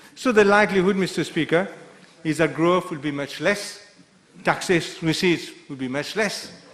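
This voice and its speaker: A man with a high pitch speaks at a moderate pace. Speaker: member of parliament. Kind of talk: parliamentary budget debate speech. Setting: national assembly chamber.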